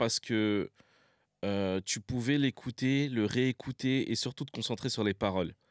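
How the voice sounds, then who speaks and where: Very slowly, a man talks with ordinary pitch variation in a dry, close sound with no echo. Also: very clean recording, silent background. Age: 30s. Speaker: social media content creator. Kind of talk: casual chat.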